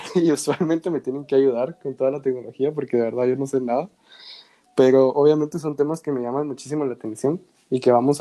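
The voice has a dark, mellow tone. It moves at a fairly quick pace with fairly even intonation. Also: man. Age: 20s. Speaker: podcast host. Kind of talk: casual chat.

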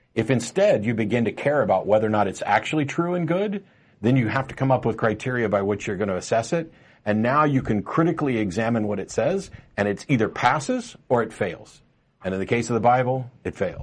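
A man with an unremarkable speaking voice, medium in pitch, at a fairly quick pace with lively intonation against a quiet background. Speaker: talk show host. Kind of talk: live call-in talk show. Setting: studio. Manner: casual and joking.

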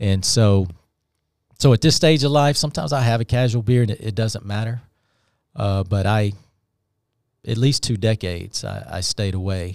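Recorded very cleanly against a silent background, a man with a Southern US accent speaks at a fairly low pitch and moderate pace, with ordinary pitch variation and long, frequent pauses. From US South, Alabama. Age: 50s. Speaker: author and former pastor. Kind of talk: testimony. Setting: studio.

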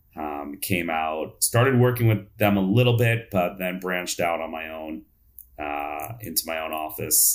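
A man's somewhat breathy voice is captured on a very clean recording with a silent background. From New York. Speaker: dentist and speaker. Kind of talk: interview.

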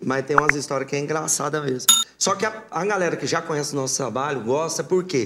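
A man with a fairly high voice talks very fast with ordinary pitch variation over noticeable background noise. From Mato Grosso, Brazil (born in Paraná). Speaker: sertanejo singer. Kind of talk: casual interview.

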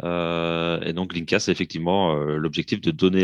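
At a very slow pace and in a monotone, flat way, the voice comes through dry and close with no echo against a quiet background. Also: man. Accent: Belgian. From Belgium, province of Liège. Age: 30s. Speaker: drummer and percussionist, project founder. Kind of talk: interview.

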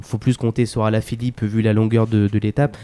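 A man's voice sits at a medium pitch. The tone is dark and mellow, the intonation monotone and flat. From France, Vierzon (Cher). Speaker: local sports commentator and town official. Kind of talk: radio interview.

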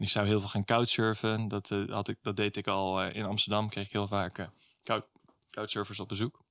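A man's fairly low-pitched voice at a moderate pace, monotone with flat intonation, in a very clean recording with a silent background. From Zeeland, Netherlands (Middelburg). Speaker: volunteer and traveller. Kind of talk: interview. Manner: hesitant, many fillers.

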